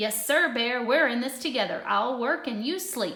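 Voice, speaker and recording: A woman does a put-on character voice at a high pitch. Her pace is moderate. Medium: read story. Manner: glib, sly.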